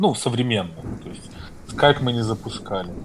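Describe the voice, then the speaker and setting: The speaker is a man. His pitch is medium. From Belarus. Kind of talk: casual chat. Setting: Telegram call.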